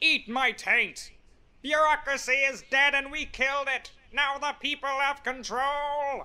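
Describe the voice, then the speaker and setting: A raised, projected voice speaks at a fairly slow pace with monotone, flat intonation. The recording is very clean, with a silent background. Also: man, extremely high pitch for a man. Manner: wild, yelling.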